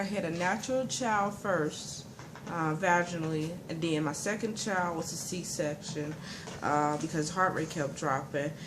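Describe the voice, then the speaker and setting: Her pitch varies in an ordinary way as a woman speaks. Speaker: mother. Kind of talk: personal story told to camera. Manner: fast.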